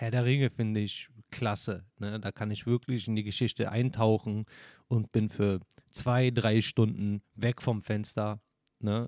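A man's medium-pitched voice with a dark, mellow tone and fairly even intonation at a fairly slow pace, dry and close with no echo, in a very clean recording with a silent background. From Berlin, Germany. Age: 30s. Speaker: podcast host. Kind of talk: casual monologue.

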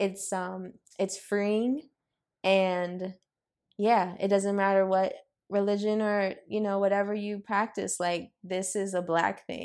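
In a very clean recording with a silent background, a woman with an American accent speaks at a fairly slow pace, her medium-pitched voice monotone and flat. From Los Angeles. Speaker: interior designer and co-founder. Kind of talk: casual chat.

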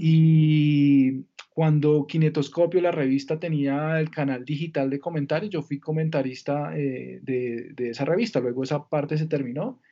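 A man's normal speaking voice, fairly high-pitched and fairly slow, with hardly any pauses and fairly even intonation. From Colombia, Villavicencio. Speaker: entertainment lawyer. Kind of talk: interview conversation.

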